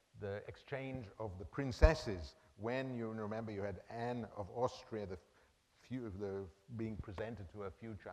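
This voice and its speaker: A man with a fairly low pitch talks at a moderate pace in an ordinary speaking voice, with ordinary pitch variation. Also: big swings in loudness. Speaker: art history professor. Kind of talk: lecture.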